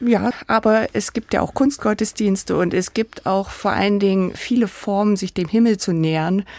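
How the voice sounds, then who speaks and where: The speaker is a woman with a plain, everyday voice, moving at a moderate pace with ordinary pitch variation. Her sound is dry and close, with no echo. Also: medium pitch for a woman. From Saxony-Anhalt, Germany (village near Sangerhausen). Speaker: architect. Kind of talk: interview.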